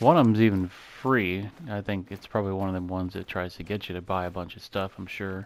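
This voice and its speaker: A man's very deep, low voice at a fairly quick pace with fairly even intonation. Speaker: gaming YouTuber. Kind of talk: gameplay commentary. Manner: monotone; mellow. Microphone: mic too far, a little quiet.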